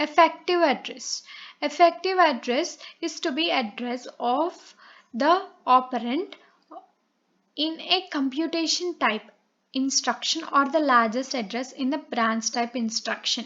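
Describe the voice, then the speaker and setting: With a Telugu accent, a high-pitched woman speaks at a fairly slow pace, leaving long, frequent pauses. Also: ordinary pitch variation. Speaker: online tutor. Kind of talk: lecture. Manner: halting, many fillers.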